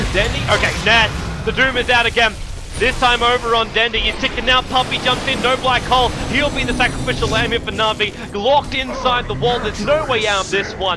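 Over music in the background, a man with an extremely high pitch talks at a fairly quick pace. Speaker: esports caster. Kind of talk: live play-by-play esports commentary calling a teamfight. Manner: rapid-fire, breathless stream of hero and ability callouts; excitable, with sudden exclamations mid-fight.

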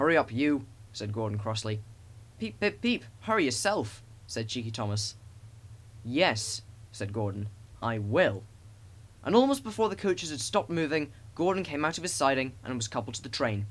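Leaving long, frequent pauses, a man speaks in an animated, gentle tone that is somewhat breathy, with lively intonation. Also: medium pitch for a man, moderate pace. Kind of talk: children's story audiobook reading. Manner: animated storyteller, gentle and warm, voicing engine characters.

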